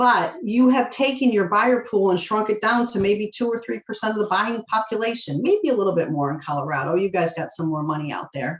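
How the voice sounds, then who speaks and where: A woman's fairly high, animated voice at a fairly quick pace, with very wide pitch swings and hardly any pauses. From Michigan. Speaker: mortgage loan officer. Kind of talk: presentation to real estate agents. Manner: fast.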